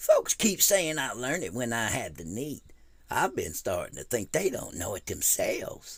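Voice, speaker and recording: This raspy man uses a put-on character voice. He talks at a moderate pace. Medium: read story.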